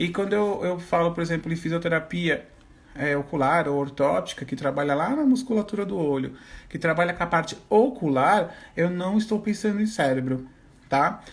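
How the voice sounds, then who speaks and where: His voice is high-pitched. This man speaks with lively intonation. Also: moderate pace. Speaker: teacher and visual therapist. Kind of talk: online lecture. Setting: Instagram live, standing at whiteboard.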